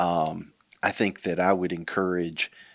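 A man with a North Carolina accent speaks in a very deep, low voice with a monotone, flat delivery, recorded very cleanly against a silent background with a dry, close sound and no echo. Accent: Southern US (North Carolina). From southeastern North Carolina. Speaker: county elected official. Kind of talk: interview conversation.

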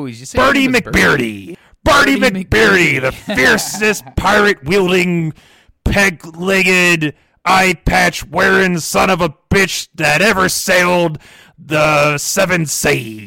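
Using a put-on character voice, a man speaks high and gravelly at a fairly slow pace. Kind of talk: pirate speech. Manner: tough, swaggering.

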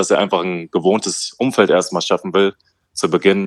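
On a very clean, dry and close recording with no echo and a silent background, a man uses a normal speaking voice at a moderate pace. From Hesse, Germany (Wetzlar). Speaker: professional basketball player. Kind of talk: casual interview.

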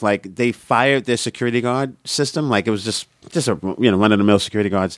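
A man with a Brooklyn accent talks in a fairly low pitch with ordinary pitch variation, recorded very clean with a silent background and a dry, close sound with no echo. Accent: New York (Brooklyn). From Coney Island, Brooklyn, New York. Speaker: stand-up comedian. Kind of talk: casual interview chat.

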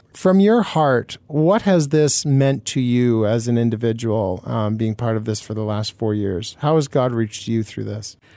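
With a Canadian accent, a man speaks at a medium pitch and a moderate pace with hardly any pauses, a dark, mellow tone and ordinary pitch variation, on a very clean recording with a silent background. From Manitoba, Canada. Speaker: radio co-host. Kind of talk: radio interview. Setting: radio studio.

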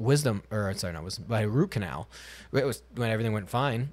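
In a very clean recording with a silent background, a man with a normal speaking voice talks at a fairly quick pace and a fairly low pitch. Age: 30s. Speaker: podcast host. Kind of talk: casual chat.

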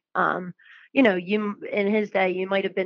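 A woman speaks with fairly even intonation. Hers is a plain, everyday voice. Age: 20s. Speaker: political candidate. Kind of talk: interview. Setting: phone call.

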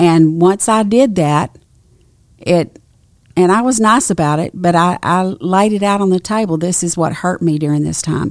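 In an East Texas accent, a woman speaks at a moderate pace. Her pitch is fairly low, with ordinary variation. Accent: East Texas Southern. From East Texas (Nacogdoches). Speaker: pastor's wife. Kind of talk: casual chat.

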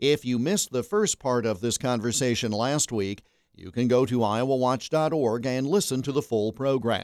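An unremarkable speaking voice from a man with an American accent, medium pitch and lively intonation. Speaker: radio host. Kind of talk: interview.

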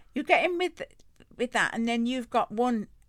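A woman speaks with an English Midlands accent at a moderate pace, using very wide pitch swings. The recording is very clean, with a silent background. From Rugby, central England. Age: 70s. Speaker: host's grandmother, guest. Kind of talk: casual chat. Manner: good-humoured, laughs often.

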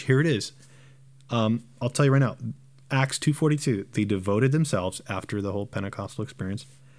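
A man with a Southern California accent, lively intonation and a fairly quick pace, on a very clean recording with a silent background. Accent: American English, Southern California. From Southern California, Romanian immigrant family. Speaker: pastor. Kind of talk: casual discussion.

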